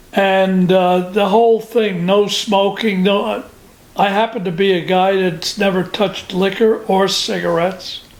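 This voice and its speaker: Over noticeable background noise, a man with an American accent talks at a fairly slow pace in a high pitch with monotone, flat intonation. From New Jersey. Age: 90s. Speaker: war veteran. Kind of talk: oral history interview. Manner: halting.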